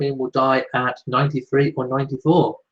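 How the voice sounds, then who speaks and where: A man speaks in a somewhat breathy voice. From Shropshire, English Midlands. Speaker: royal news YouTuber. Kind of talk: live Q&A chat reading viewer comments. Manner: casual, many filler ums.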